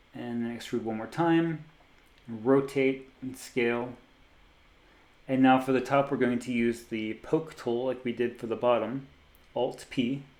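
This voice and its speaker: A man with an American accent and medium pitch speaks at a fairly slow pace, leaving long, frequent pauses. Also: fairly even intonation. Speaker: 3D artist and tutorial creator. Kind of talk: software tutorial. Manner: casual, with frequent fillers and repeats.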